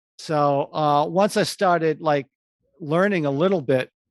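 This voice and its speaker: A man talks at a fairly slow pace with fairly even intonation. He has an ordinary speaking voice, and the background is quiet. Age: 60s. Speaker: advertising creative. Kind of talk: interview.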